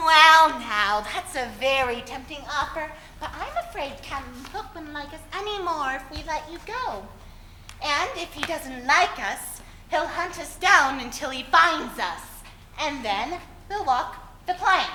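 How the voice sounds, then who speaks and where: A put-on, high-pitched character voice at a fairly slow pace, slight echo, clear background noise. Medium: stage play. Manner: gentle, drawling "well, now".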